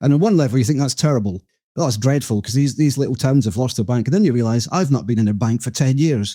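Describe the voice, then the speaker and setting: A man talks at a very fast pace in a medium pitch with a dark, mellow tone and ordinary pitch variation. The recording is very clean, with a silent background. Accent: Scottish. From Scotland. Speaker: podcast co-host. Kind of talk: casual chat. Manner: halting.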